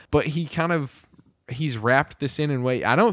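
A man speaks at a moderate pace with a fairly high pitch. He has a slight Kentucky accent. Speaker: podcast co-host. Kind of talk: casual chat. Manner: chatty, laughs often.

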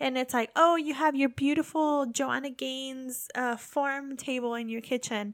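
A woman's high, playful voice at a moderate pace, fairly even intonation, hardly any pauses, in a very clean recording with a silent background. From United States. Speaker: podcast host, military spouse. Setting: living abroad in Japan. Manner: chatty, laughs often, playful.

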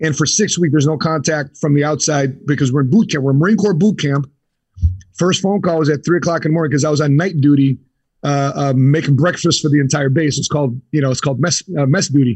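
A man's somewhat breathy, fairly high voice in a Chicago accent, at a very fast pace with ordinary pitch variation and very even loudness. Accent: Chicago American. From US Midwest, Chicago. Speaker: insurance entrepreneur, Marine veteran. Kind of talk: interview.

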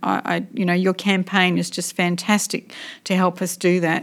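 On a very clean recording with a silent background, a woman with an Australian accent talks at medium pitch. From Western Australia (Port Hedland, Pilbara). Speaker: political party interviewer. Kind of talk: interview.

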